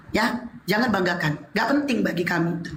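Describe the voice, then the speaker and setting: A woman's voice at a moderate pace with ordinary pitch variation, amid noticeable background noise and audible room echo. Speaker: religious debate participant, convert to Islam. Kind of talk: heated debate. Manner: forceful, sounds angry.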